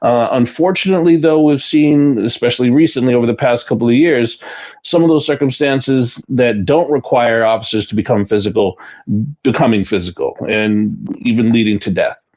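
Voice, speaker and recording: Lively in intonation, a man talks at a medium pitch and a fairly quick pace in a plain, everyday voice. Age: 60s. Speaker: retired police deputy chief. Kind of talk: radio interview.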